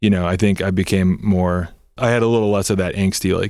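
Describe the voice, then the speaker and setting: A man with a Southern California accent talks at a fairly quick pace in a fairly low, monotone, flat voice. The recording is very clean, with a silent background. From Southern California, Torrance. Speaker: punk band member. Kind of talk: casual interview. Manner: casual, filler-heavy.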